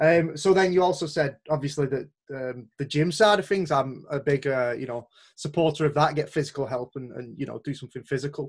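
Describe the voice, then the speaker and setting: In a Lancashire accent, a man speaks fairly quickly in a fairly high, somewhat breathy voice, with ordinary pitch variation and big swings in loudness. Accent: Wigan, Lancashire. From Wigan, northern England. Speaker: podcast host. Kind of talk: casual interview conversation.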